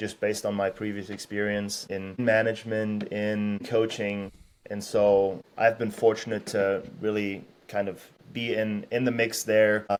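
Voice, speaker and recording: A man with an American accent talks at a fairly slow pace and fairly low pitch. His intonation is monotone and flat. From Germany. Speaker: strength and conditioning coach. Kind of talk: podcast interview. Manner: conversational, with filler words and restarts.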